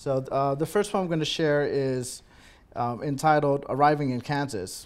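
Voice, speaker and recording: In a normal speaking voice, a man with a fairly high pitch and ordinary pitch variation talks at a moderate pace on a very clean recording with a silent background. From US, Texas and military moves; Panamanian and Puerto Rican parents. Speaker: poet. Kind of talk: interview.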